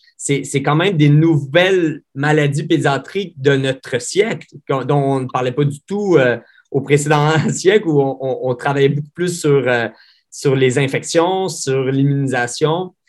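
Speaking at a very slow pace, a man has a fairly high pitch. His intonation shows ordinary variation. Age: 30s. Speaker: pediatrician. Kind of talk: interview. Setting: video call. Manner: halting, many repetitions.

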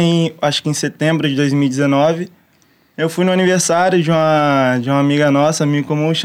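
At a moderate pace, a man with a fairly high pitch talks in a monotone, flat intonation, his loudness very even. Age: 20s. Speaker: pro surfer and musician. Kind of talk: casual chat.

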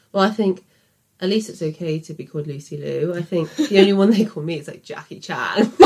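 At a fairly quick pace, a woman with a Birmingham accent shows ordinary pitch variation and big swings in loudness. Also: fairly low pitch for a woman. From English Midlands, Birmingham. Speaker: podcast co-host. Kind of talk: casual chat.

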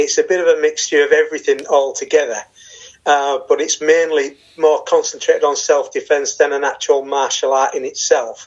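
At a moderate pace, a man talks in a northern English accent. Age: 50s. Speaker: martial arts student. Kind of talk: casual chat.

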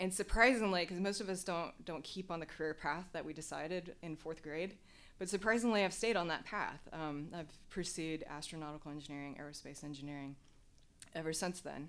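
A woman with a fairly low pitch talks at a fairly quick pace in an ordinary speaking voice with ordinary pitch variation. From US Midwest, Nebraska. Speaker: former military pilot and doctoral student. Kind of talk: interview. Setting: in-person interview.

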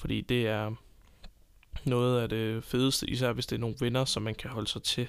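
In a flat monotone, a man speaks at a medium pitch. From Denmark, Copenhagen. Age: 20s. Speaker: podcast host. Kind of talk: unscripted solo monologue. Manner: hesitant, many filler sounds.

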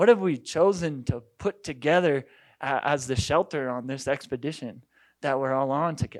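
A man's fairly high voice with an American accent and ordinary pitch variation, on a very clean recording against a silent background. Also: moderate pace. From Colorado, Boulder. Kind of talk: conference talk. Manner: halting, many fillers.

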